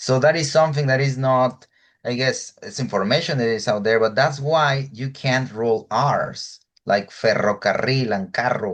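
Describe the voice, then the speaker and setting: Against a quiet background, a man with a Spanish accent speaks at a medium pitch. His pace is moderate and his pitch varies in an ordinary way. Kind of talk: casual chat.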